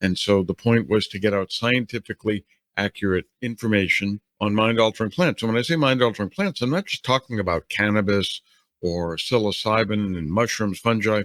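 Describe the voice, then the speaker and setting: A man with a New Orleans accent and a fairly low pitch is heard in a very clean recording with a silent background, dry and close with no echo. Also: ordinary pitch variation, fairly quick pace. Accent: American, New Orleans. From US South, New Orleans. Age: 60s. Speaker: ethnobotanist. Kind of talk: interview.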